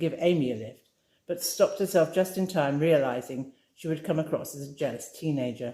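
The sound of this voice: At a moderate pace, a woman speaks in a low pitch with a dark, mellow tone and ordinary pitch variation.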